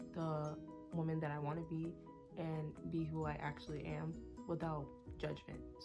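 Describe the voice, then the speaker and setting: A woman's voice at very even loudness, with music in the background. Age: 20s. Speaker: college student and cosmetics business owner. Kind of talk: casual talk to camera.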